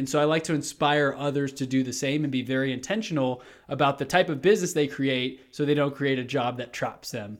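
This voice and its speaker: A man with a normal speaking voice and an American accent talks at a fairly quick pace with hardly any pauses, in a fairly high pitch with fairly even intonation. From Texas, Houston. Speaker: real estate agent and podcast host. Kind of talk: interview. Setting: video call.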